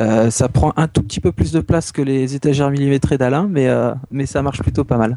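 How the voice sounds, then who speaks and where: A man at medium pitch with a normal speaking voice, a fairly quick pace, ordinary pitch variation and hardly any pauses. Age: 30s. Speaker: doctor and manga fan. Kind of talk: casual chat.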